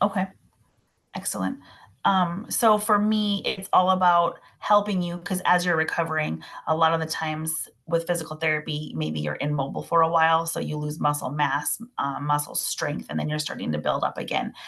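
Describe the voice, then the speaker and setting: Using an unremarkable speaking voice with an American accent, a woman speaks at a moderate pace, fairly low in pitch, with ordinary pitch variation. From Minnesota, US Midwest. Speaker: massage therapist. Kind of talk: casual expert chat. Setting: video call.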